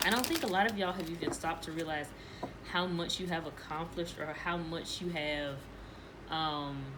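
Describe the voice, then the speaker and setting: A woman talks at a fairly quick pace. Room echo is audible, and there is noticeable background noise. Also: fairly low pitch for a woman, fairly even intonation. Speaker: tarot reader. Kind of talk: tarot reading monologue. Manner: fast.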